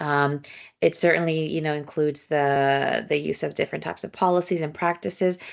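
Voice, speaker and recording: A woman talks with a Spanish accent. The background is quiet. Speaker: social work professor. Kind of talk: lecture. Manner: fillers and repetitions.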